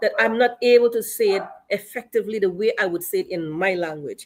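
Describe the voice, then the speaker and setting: With a Guyanese accent, a woman talks at a fairly quick pace with very wide pitch swings. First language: Akawaio. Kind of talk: panel discussion.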